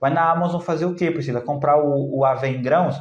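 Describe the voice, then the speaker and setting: A man talks with ordinary pitch variation. There is audible room echo around him. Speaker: naturopath health educator. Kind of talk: live stream talk answering comments. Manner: animated, conversational.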